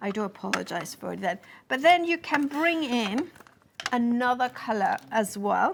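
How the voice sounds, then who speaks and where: A high-pitched woman with a Spanish accent speaks at a moderate pace, her pitch swinging very widely. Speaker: craft product demonstrator. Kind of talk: live shopping demonstration. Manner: halting.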